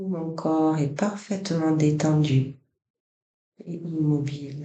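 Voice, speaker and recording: This man's pitch sits fairly high and his intonation stays fairly even. He speaks at a very slow pace. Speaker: yoga nidra guide. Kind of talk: guided relaxation body scan. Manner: soft-spoken, slow.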